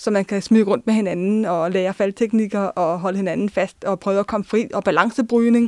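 In a dry, close recording with no echo, a woman with an ordinary speaking voice talks at a moderate pace, her medium pitch following a fairly even intonation. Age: 20s. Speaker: social work student. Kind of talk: personal testimony. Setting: studio.

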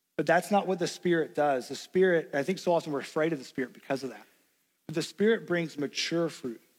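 With a Tennessee accent, a man speaks at a moderate pace in a high pitch with ordinary pitch variation. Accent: Southern US (Tennessee). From US South, Knoxville, Tennessee. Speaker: pastor. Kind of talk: sermon.

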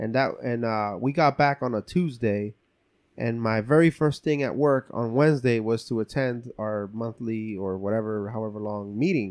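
An ordinary speaking voice from a man, medium in pitch, with ordinary pitch variation, a moderate pace, and a quiet background. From New Jersey, Cuban building, Colombian family. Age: 30s. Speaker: community nonprofit leader. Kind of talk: casual chat.

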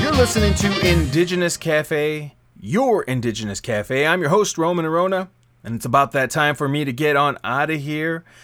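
A man with an ordinary speaking voice talks at a fairly high pitch with lively intonation. The recording is very clean, with a silent background. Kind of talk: radio DJ patter between songs, with show intros and quote readings. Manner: warm, smooth and upbeat, with a measured, welcoming pace.

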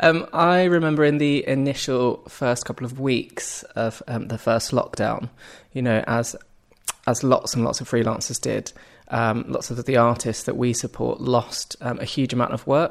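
A man speaks in a normal speaking voice at medium pitch, with fairly even intonation and a moderate pace. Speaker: arts organisation founder. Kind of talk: casual interview conversation.

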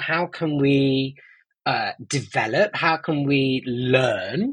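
Ordinary pitch variation in an East Midlands accent. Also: man. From Nottingham, England. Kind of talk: interview. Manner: halting with many fillers.

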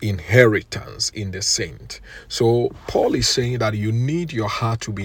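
Music can be heard behind this man. He talks at a fairly slow pace. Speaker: preacher. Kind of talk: fervent prayer and sermon, leading listeners in intercession. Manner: fervent, earnest, impassioned; rhythmic, exhorting, declarative.

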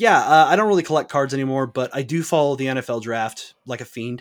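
A man's ordinary speaking voice at medium pitch, with ordinary pitch variation and a fairly quick pace, on a very clean recording over a silent background. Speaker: podcast host. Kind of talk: casual chat.

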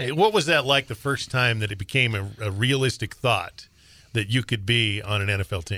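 The man's medium-pitched voice has a bright, sharp tone and ordinary pitch variation, recorded very cleanly against a silent background. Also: moderate pace. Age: 50s. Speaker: podcast co-host. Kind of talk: casual chat.

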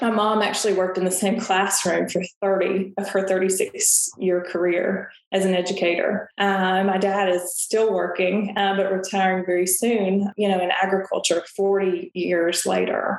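A woman with a Southern US accent and a medium pitch speaks at a fairly slow pace in a monotone with flat intonation. Her loudness stays very even. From Tennessee, US South. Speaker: financial advisor. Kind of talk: interview.

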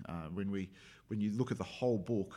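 In a very clean recording with a silent background, a man talks with an Australian accent. His pitch is fairly low, with ordinary pitch variation. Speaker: pastor. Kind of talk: casual chat.

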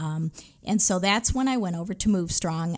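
In an American accent, a woman talks at a medium pitch in a normal speaking voice. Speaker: retired teacher. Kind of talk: testimony. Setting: studio.

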